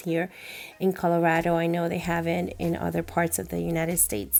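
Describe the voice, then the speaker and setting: Heard in a very clean recording with a silent background, a woman with a Spanish accent speaks in a fairly low, dark, mellow tone. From Puerto Rico. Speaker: journaling YouTuber. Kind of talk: casual vlog narration.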